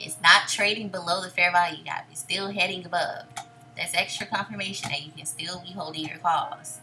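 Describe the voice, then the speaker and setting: Music plays in the background as a woman talks at a moderate pace. Her pitch is fairly low, with ordinary variation. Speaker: day trader and trading educator. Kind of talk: screen-share trade recap tutorial. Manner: casual.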